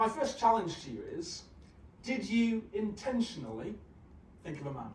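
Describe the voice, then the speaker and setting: A man speaks in a British accent with very wide pitch swings. Audible room echo is present. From UK. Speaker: conference speaker, engineering executive. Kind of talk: conference talk. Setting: stage with audience. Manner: hesitant, many fillers.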